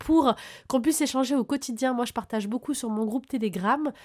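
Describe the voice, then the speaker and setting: Enthusiastic and animated, a woman with a high pitch and ordinary pitch variation speaks in a very clean recording over a silent background. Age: 30s. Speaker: spiritual podcaster, numerology and moon energy guide. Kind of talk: casual spiritual talk to listeners. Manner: enthusiastic, animated.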